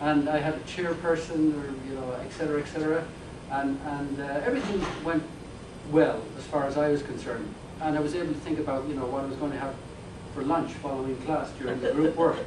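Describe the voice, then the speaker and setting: An Irish accent at a fairly quick pace, with noticeable background noise and audible room echo. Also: man. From Ireland. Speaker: professor. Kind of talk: lecture. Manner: halting.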